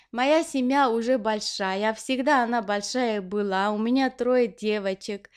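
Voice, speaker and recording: A woman with an Armenian accent speaks very slowly at a fairly high pitch with ordinary pitch variation, on a very clean recording with a silent background. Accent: Armenian accent in Russian. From Armenia (Leninakan/Gyumri). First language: Armenian (speaking Russian). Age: 40s. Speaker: knitting vlogger. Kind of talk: casual Q&A vlog. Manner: hesitant, many fillers.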